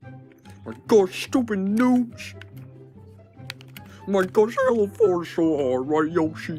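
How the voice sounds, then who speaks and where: Over clear background music, a cartoonish character voice at a middle pitch moves at a very slow pace with very wide pitch swings and long, frequent pauses. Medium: puppet.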